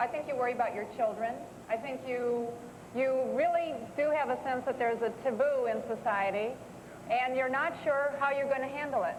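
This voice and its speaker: A woman with a high voice talks at a moderate pace, and room echo is audible around her. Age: 40s. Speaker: writer. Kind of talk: TV talk show interview. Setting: studio with audience.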